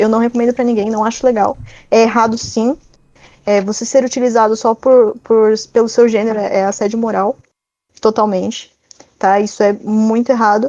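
Here a woman with an unremarkable speaking voice talks at a moderate pace and a fairly high pitch. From Brazil, São Paulo. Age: 20s. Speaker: digital marketer. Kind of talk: interview.

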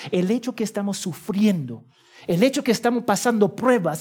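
A man with a high pitch, lively intonation and a moderate pace. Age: 40s. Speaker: pastor. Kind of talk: sermon.

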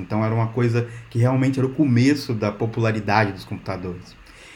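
At a fairly quick pace, a man speaks in a somewhat breathy voice with a dark, mellow tone. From Brazil, Minas Gerais (rural). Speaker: software engineer. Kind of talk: casual interview chat.

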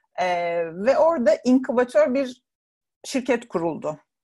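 Her pitch moves through very wide swings. The woman's delivery is fairly slow. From Turkey, Burdur. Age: 40s. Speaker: travel writer and blogger. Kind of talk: casual interview.

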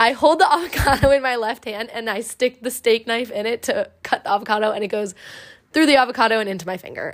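Putting on a character voice, a woman talks very fast in a fairly high, raspy tone. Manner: very fast, rushing through the queasy part.

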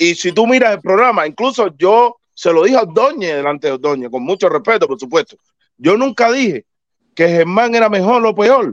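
A man speaks at a moderate pace in a high pitch against a quiet background. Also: dry, close sound with no echo. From Cuba. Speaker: baseball commentator panelist. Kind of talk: casual debate.

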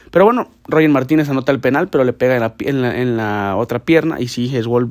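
A man's lively intonation comes through in a very clean recording with a silent background. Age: 20s. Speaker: football podcast host. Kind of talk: casual sports commentary podcast. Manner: halting, many repetitions and restarts.

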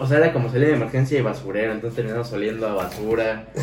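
A man with a Mexican accent, medium in pitch with ordinary pitch variation, amid noticeable background noise and an audible room echo. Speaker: podcast co-host. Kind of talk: casual chat.

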